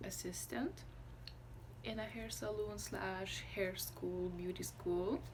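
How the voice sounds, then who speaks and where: Amid noticeable background noise and audible room echo, a woman with a Lithuanian accent speaks at a very slow pace. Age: 20s. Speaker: vlogger. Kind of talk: casual chat. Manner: halting, stops mid-sentence.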